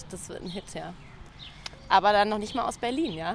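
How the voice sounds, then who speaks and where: A medium-pitched woman talks fairly quickly, with noticeable background noise behind her. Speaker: podcast host. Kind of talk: casual interview. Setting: outdoors.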